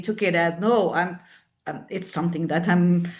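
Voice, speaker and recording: Keeping a moderate pace, the woman talks with a non-native accent. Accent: foreign. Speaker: service provider. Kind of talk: panel discussion.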